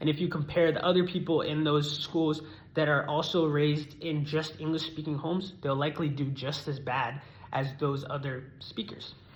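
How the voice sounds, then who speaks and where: Over audible room echo, a man with a fairly high pitch speaks somewhat breathily in a flat monotone at a moderate pace. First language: not English (learned English as a child in America). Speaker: student. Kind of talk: persuasive speech. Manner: formal.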